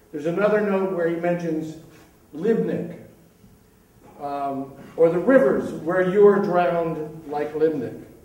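Pausing long and often, a man speaks at a fairly slow pace and a high pitch with ordinary pitch variation, amid audible room echo. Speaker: poetry reader. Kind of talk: reading aloud a poem with commentary. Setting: stage with audience. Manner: hesitant, with fillers when introducing. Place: stage.

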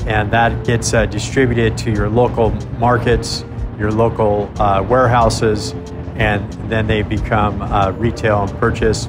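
Over background music, a man talks at a medium speed. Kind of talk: interview answer. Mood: calm, serious. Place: waterside.

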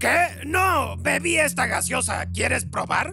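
Someone uses a put-on character voice at a fairly slow pace, with clear music in the background. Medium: machinima.

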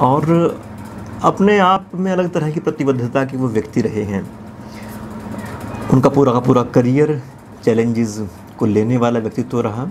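There is light background noise as a man talks at a fairly slow pace, with lively intonation and long, frequent pauses. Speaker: interview host. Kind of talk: documentary interviewer narration. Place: studio. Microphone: lapel.

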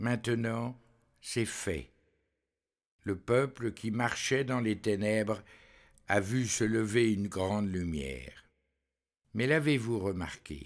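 A man with a fairly low pitch and ordinary pitch variation talks in a solemn tone at a very slow pace, leaving long, frequent pauses. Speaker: preacher. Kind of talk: homily. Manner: measured.

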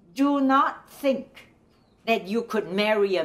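She speaks with a Chinese accent. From China. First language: Mandarin Chinese. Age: 80s. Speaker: retired professor and women's rights activist. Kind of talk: testimony. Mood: earnest, calm conviction. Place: home room.

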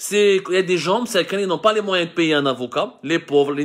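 Against a quiet background, a man speaks at a moderate pace in a high pitch with ordinary pitch variation. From Algeria, Mitidja; Algeria. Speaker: journalist and online commentator; online news commentator. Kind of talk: live video commentary. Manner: hesitant, with frequent self-corrections. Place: home room. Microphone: phone near.

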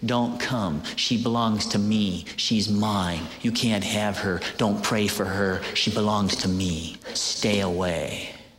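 Putting on a growling, guttural character voice at a fairly low pitch, a man talks at a fairly slow pace with hardly any pauses, over clear background noise with a slight echo. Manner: snarling, possessive, threatening.

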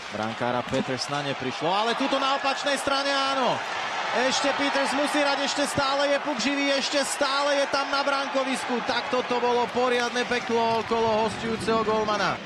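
An extremely high-pitched man speaks in a raised, projected voice at a moderate pace, with very even loudness and fairly even intonation. There is noticeable background noise. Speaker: sports commentator. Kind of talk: live ice hockey play-by-play commentary, voiced over highlights. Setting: commentary booth at the arena.

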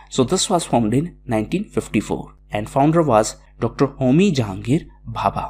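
This man has a medium pitch and vocal fry, speaking at a fairly slow pace. His intonation is lively. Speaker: educational video presenter. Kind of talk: lecture.

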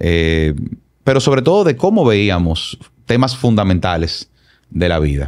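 A man speaks at a fairly slow pace with a fairly low pitch, very wide pitch swings, and long, frequent pauses against a quiet background. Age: 40s. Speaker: consultant and politician; podcast guest. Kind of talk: personal testimony interview. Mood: reflective, earnest. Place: studio. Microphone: studio mic.

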